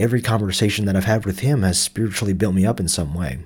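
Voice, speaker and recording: A man with an American accent speaks very fast in a very deep, low voice that is somewhat breathy, with ordinary pitch variation. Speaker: podcast host. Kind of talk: personal reflection monologue, podcast. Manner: halting, disfluent.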